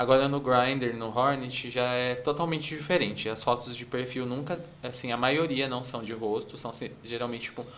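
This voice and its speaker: Noticeable background noise and audible room echo surround a man with a medium pitch. He talks at a moderate pace with hardly any pauses and fairly even intonation. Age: 30s. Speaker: advertising professional. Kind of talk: casual chat.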